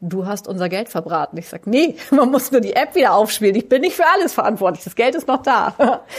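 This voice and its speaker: Animated in tone, a woman speaks at a fairly quick pace with hardly any pauses, a fairly high pitch, very wide pitch swings and big swings in loudness. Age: 40s. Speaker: school principal. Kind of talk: interview.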